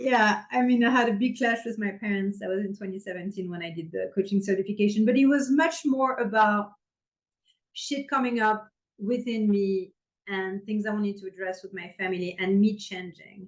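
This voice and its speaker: Speech in a French accent at a moderate pace, with big swings in loudness and ordinary pitch variation. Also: woman, medium pitch for a woman. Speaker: intimacy coach. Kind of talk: podcast interview.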